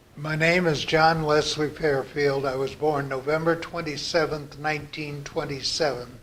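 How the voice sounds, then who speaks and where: Over noticeable background noise, a man with an American accent talks at a moderate pace with hardly any pauses. His pitch is fairly high and his intonation flat and monotone. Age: 80s+. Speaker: interviewee recounting family history. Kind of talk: oral history interview. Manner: halting, frequent fillers and restarts.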